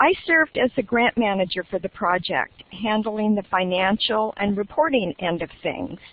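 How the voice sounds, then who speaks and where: A woman talks at a moderate pace with lively intonation. Her pitch sits fairly high. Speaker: library director. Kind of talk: webinar presentation. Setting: webinar. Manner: loud.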